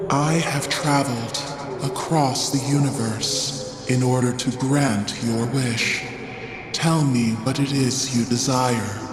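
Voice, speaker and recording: Over loud music and a slight echo, a man does a put-on character voice at a medium pitch and a fairly slow pace. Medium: fan dub. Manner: calm, solemn.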